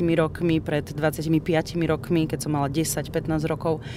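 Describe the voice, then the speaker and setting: A woman's very deep, low-pitched voice at a fairly slow pace. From northeastern Slovakia, Rusyn village. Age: 30s. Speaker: radio presenter. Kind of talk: casual chat.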